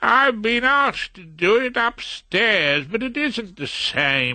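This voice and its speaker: Against a quiet background, a man uses a put-on character voice that sits high in pitch and swings very widely. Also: fairly slow pace. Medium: read story. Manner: reasonable, mild.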